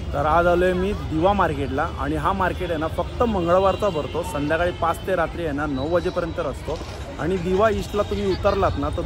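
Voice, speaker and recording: The sound is dry with no echo. Clear music plays in the background. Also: man. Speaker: market vlogger. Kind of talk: casual vlog chat. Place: market. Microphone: phone near.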